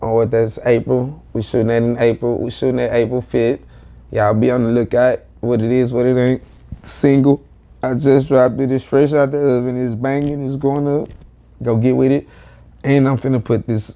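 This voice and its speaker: With an American accent, a man talks at a moderate pace in a monotone, flat intonation. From Houston, Texas (south side). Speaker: rapper; interview guest. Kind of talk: casual interview chat. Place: home room.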